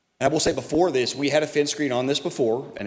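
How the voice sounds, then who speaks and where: Amid noticeable background noise, a man with an American accent talks at a fairly quick pace with ordinary pitch variation. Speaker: business representative before city council. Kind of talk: public hearing presentation. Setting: city council meeting. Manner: fast.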